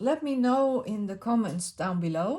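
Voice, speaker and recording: With a Dutch accent, a woman speaks at a high pitch, her voice making very wide pitch swings. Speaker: crafting YouTuber. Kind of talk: casual craft video talk. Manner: halting, many fillers.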